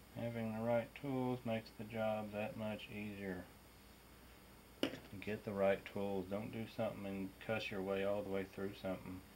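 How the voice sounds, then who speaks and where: A man speaks at a fairly low pitch. The intonation is monotone and flat. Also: moderate pace. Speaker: RC hobbyist. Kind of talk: how-to install tutorial. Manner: casual.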